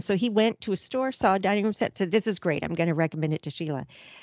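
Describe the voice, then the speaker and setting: Over a quiet background, a woman speaks in an ordinary speaking voice at medium pitch. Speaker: podcast co-host. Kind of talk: casual chat.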